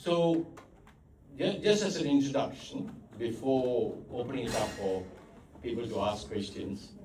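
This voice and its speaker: In a room with audible echo and noticeable background noise, a man speaks loud at a medium pitch with very wide pitch swings, at a fairly slow pace with long, frequent pauses. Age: old. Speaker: psychiatrist giving a talk. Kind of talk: talk with Q&A. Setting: church hall with audience. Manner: halting, many fillers.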